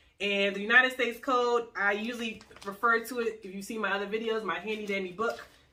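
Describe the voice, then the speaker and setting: In an American accent, a woman talks at a fairly quick pace with a fairly high pitch and a bright, sharp tone. Her intonation is fairly even, and audible room echo surrounds her. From US Northeast. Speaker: lawyer. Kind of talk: tutorial. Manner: fast.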